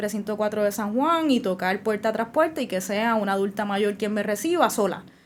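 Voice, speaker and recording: A woman with a normal speaking voice talks at a fairly quick pace in a fairly high pitch, with ordinary pitch variation. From Puerto Rico, Bayamón. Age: 30s. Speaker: lawyer and legislative candidate. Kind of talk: interview.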